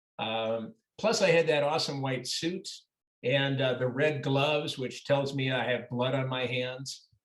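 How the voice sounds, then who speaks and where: A man with an unremarkable speaking voice and medium pitch talks at a fairly slow pace with ordinary pitch variation. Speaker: actor. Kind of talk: interview answer. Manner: casual, conversational.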